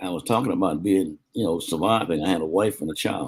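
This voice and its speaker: At a moderate pace, a man with an American accent talks in a very deep, low pitch with ordinary pitch variation. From US South, South Carolina. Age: 80s+. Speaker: war veteran. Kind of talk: interview.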